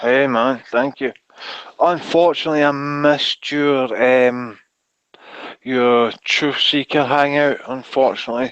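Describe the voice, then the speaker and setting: A man with a Glasgow accent talks at a fairly slow pace and a medium pitch. His intonation is monotone and flat against a quiet background. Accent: Scottish (Glaswegian). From Scotland, Glasgow. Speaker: hangout participant. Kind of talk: casual chat. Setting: video call.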